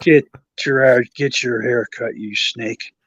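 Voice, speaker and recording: Putting on a character voice, a man sounds raspy at a medium pitch. His delivery is fairly slow. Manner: gruff, scolding.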